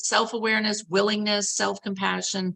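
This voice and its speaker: A woman speaks at a fairly quick clip in a medium pitch, her bright, sharp tone edged with vocal fry and her pitch moving in an ordinary way. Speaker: family coach presenter. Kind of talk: training presentation.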